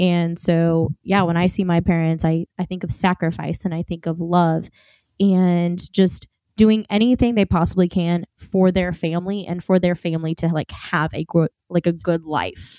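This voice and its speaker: Woman's voice, fairly low-pitched with a dark, mellow tone, fairly even intonation and a moderate pace, in a dry, close sound with no echo on a very clean recording with a silent background. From US South. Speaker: podcast co-host. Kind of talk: casual Bible discussion. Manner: playful.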